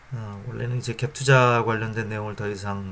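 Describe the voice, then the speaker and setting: At a moderate pace, a man speaks at medium pitch in a monotone with flat intonation. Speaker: finance YouTuber. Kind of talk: informal lecture to camera. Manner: hesitant, many fillers.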